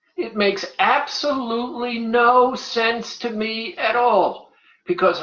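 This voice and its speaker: Audible room echo surrounds a woman with a fairly high pitch. She talks at a very slow pace. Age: 80s+. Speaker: weight loss coach. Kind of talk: radio show talk.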